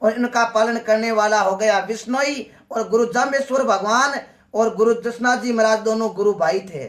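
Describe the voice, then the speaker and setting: A man speaks with a Marwari accent. His pitch is extremely high. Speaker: devotional folk singer. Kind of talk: religious folk storytelling.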